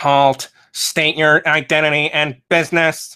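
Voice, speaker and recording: A man's put-on character voice, robotic and growling, fairly high in pitch, at a fairly slow pace. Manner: snarling, barking a command.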